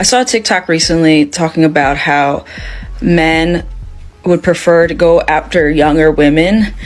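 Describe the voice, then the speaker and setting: With music playing in the background, the speaker moves at a fairly slow pace. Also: woman. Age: 30s. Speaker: social media creator. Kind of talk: casual vlog. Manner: hesitant, many fillers.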